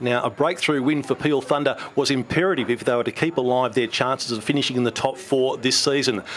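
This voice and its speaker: A man with an Australian accent at a fairly quick pace, over light background noise. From Western Australia. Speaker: sports commentator. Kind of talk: sports commentary, voiceover narration of match highlights. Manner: animated, fluent, emphatic with repeated 'very, very'. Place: studio. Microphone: handheld.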